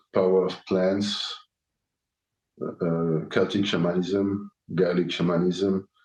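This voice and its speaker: The speaker has a non-native accent and a monotone, flat intonation. The pace is very slow, with long, frequent pauses. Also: man, very deep, low pitch for a man. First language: German. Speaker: podcast host. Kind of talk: solo podcast answering listener questions. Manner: halting, many fillers and restarts.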